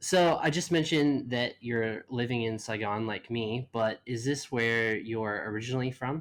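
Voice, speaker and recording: A man with an American accent speaks at a moderate pace and medium pitch with ordinary pitch variation. He has a normal speaking voice. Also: very clean recording, silent background. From US South. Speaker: podcast host. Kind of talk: podcast interview.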